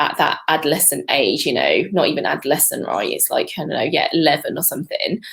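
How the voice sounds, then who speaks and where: A woman with a British accent. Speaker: fitness coach. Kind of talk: coaching talk.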